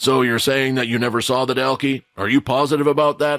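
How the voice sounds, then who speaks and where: A put-on character voice from a man at medium pitch, with monotone, flat intonation and a fairly quick pace. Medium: audio drama. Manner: calm, controlled authority.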